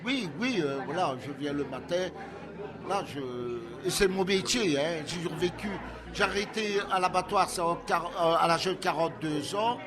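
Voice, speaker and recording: A man at a high pitch, fairly slow with long, frequent pauses and ordinary pitch variation, with audible room echo and noticeable background noise. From Belgium, Liège province (Soumagne). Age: 60s. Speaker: sculptor and painter. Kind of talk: interview. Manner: halting, many repetitions and hesitations.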